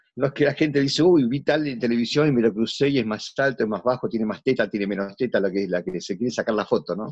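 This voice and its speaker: A man with a Rioplatense accent at medium pitch, very fast, with hardly any pauses and ordinary pitch variation. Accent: Argentine Spanish (voseo, rioplatense). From Argentina. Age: 60s. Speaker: theatre actor. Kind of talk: casual interview.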